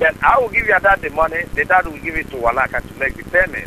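A man talks with a West African accent over light background noise. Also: dry sound with no echo. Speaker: caller posing as a private lender. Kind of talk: phone conversation. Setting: phone.

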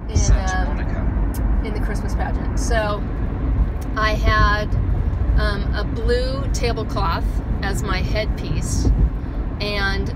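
Loud background noise runs under speech delivered at a very slow pace. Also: woman. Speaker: vlogger. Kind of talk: casual vlog chat, storytelling. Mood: amused, nostalgic. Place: car. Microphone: phone near.

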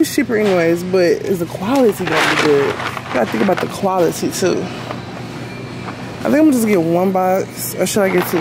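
With music in the background, a woman speaks at a fairly quick pace with hardly any pauses. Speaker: vlogger. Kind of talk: casual vlog chat. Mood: uneasy, telling about a stranger. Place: shop. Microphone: phone near.

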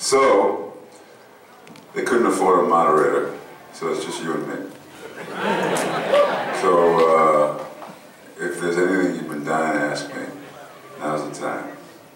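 Speaking at a fairly slow pace with long, frequent pauses, a man is heard over light background noise and audible room echo. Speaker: guest. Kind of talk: Q&A panel talk. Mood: relaxed, joking. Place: hall.

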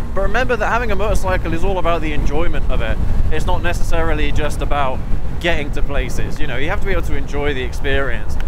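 Music plays in the background of a dry recording with no echo, where the speech runs at a very fast pace. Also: man. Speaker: motorcycle vlogger. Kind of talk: casual vlog chat. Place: motorbike. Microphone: helmet.

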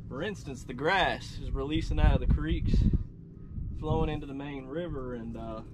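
At a moderate pace, a man talks with fairly high pitch and ordinary pitch variation.

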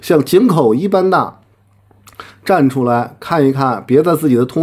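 Lively intonation at a fairly slow pace. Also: man. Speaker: commentator. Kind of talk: heated rant. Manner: aggressive, confrontational. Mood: mocking, challenging. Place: home room.

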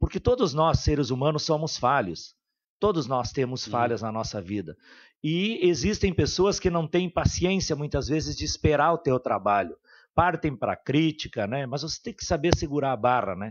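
A man's fairly high voice with very wide pitch swings, in a southern Brazilian accent. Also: moderate pace. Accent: southern Brazilian (gaúcho) Portuguese. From Santo Ângelo area, Rio Grande do Sul, Brazil; Rio Grande do Sul, Brazil. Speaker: city councillor. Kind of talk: radio interview. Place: studio. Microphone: studio mic.

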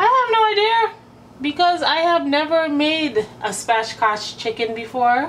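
A woman speaks in a high voice. Light background noise sits behind her. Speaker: cooking vlogger. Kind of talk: casual vlog chat. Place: kitchen. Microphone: phone near.

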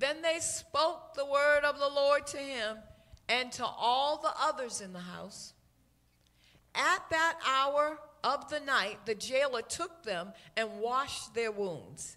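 A woman's high-pitched, raised and projected voice at a very slow pace, with lively intonation and big swings in loudness. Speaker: church minister reading scripture. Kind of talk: reading aloud. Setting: church with microphone. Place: church.

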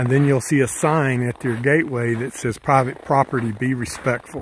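With a flat, monotone delivery, a man speaks over light background noise in a dry sound with no echo. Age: old. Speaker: hiking vlogger. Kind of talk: outdoor vlog narration. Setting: outdoors on a snowy mountain trail. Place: forest. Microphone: phone near.

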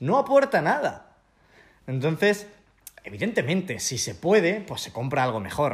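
Against a quiet background, a man with a high pitch speaks at a fairly slow pace, with long, frequent pauses, big swings in loudness and very wide pitch swings. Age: 20s. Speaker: travel YouTuber. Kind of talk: interview, casual chat. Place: home room. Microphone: handheld.

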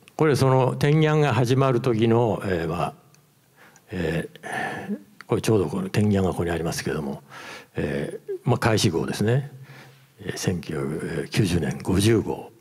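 The speech moves at a fairly slow pace with long, frequent pauses and very wide pitch swings. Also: man. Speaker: former magazine editor. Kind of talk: presentation. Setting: stage with audience. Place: hall. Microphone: handheld.

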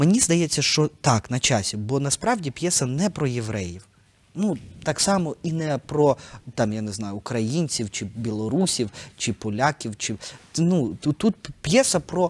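A man whose pitch is fairly high talks at a fairly slow pace, his pitch swinging very widely. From eastern Ukraine (Kharkiv); Ukraine. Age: 30s. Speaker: theatre director; guest. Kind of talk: interview; interview answer. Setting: studio. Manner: hesitant, many filler sounds. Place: studio. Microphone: lapel.

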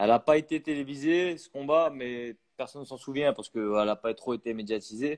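A man speaks in an ordinary speaking voice at a moderate pace, with ordinary pitch variation and a quiet background. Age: 30s. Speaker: professional boxer; guest. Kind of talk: interview. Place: home room. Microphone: earbuds.

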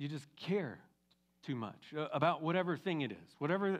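Moderate pace and ordinary pitch variation from a man, over a quiet background. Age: 50s. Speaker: pastor. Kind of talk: sermon. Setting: church. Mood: warm, encouraging. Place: church. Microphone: headset.

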